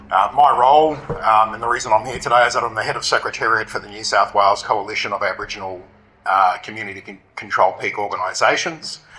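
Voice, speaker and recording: Against noticeable background noise, a man talks at a very fast pace with a fairly low pitch and big swings in loudness. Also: ordinary pitch variation. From Australia, North Queensland. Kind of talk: conference presentation. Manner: halting, many fillers.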